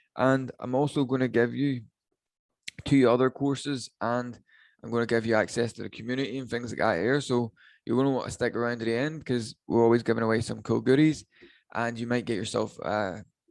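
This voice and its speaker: With a Northern Irish accent, a man talks at a fairly quick pace, medium in pitch with fairly even intonation, over a quiet background. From Northern Ireland. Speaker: online business coach. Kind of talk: webinar training. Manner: casual, filler-heavy.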